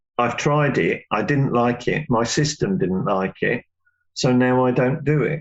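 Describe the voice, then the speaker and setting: A man with a plain, everyday voice talks at a fairly slow pace, medium in pitch, with ordinary pitch variation and very even loudness. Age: 60s. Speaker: yoga teacher. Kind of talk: interview.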